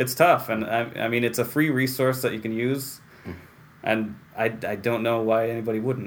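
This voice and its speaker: With an American accent, a man talks at a moderate pace in a normal speaking voice, his pitch medium and his intonation fairly even. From Central New York (Waterville, near Utica). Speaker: library director. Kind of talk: interview.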